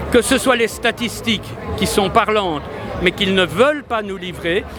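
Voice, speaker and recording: A man's raised, projected voice at a high pitch and a moderate pace, with crowd noise in the background. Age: 70s. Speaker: doctor and political candidate. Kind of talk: interview.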